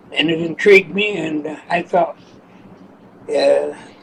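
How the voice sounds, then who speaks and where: Fairly slow male speech against noticeable background noise. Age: 80s+. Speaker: steam engineer. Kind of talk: interview answer. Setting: kitchen.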